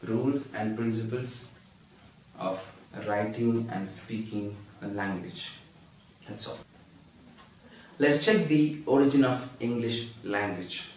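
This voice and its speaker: A man with a non-native accent speaks very slowly at medium pitch, with ordinary pitch variation and long, frequent pauses. Audible room echo and noticeable background noise fill the recording. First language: not English. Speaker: YouTuber teaching English. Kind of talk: tutorial.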